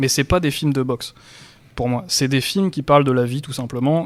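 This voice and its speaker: A man at a medium pitch talking at a fairly quick pace, with noticeable background noise. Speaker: podcast host. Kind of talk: casual podcast talk.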